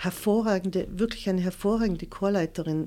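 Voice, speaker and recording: In a very clean recording with a silent background, a woman with an East Tyrolean accent speaks at a medium pitch with a dark, mellow tone and ordinary pitch variation. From East Tyrol, Austria (Leisach near Lienz). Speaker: choir association chairwoman. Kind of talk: interview.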